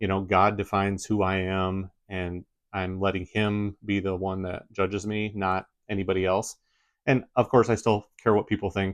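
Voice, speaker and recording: A man with a Midwestern accent, fairly low in pitch, monotone and flat at a moderate pace, in a dry, close sound with no echo over a quiet background. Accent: Midwest American. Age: 40s. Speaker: YouTuber. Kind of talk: casual vlog talk.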